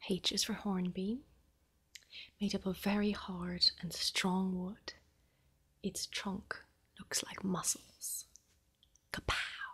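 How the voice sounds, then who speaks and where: A soft-spoken woman talks at a very slow pace with long, frequent pauses. Her loudness swings widely. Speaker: ASMR creator. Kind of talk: ASMR bedtime story reading.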